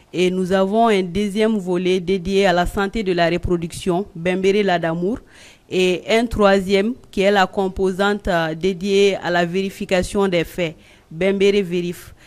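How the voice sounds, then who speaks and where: Music plays in the background as a woman talks. Her delivery is fairly slow and monotone, with flat intonation. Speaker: journalist and blogger. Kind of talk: panel discussion. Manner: loud, carrying voice.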